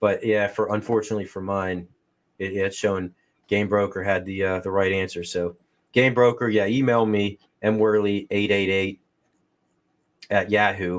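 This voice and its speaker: In a Western Pennsylvania accent, a man speaks with fairly low pitch and monotone, flat intonation. His pace is moderate, broken by long, frequent pauses, on a very clean recording with a silent background. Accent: Western Pennsylvania accent, noticeable. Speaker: podcast host. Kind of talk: casual chat.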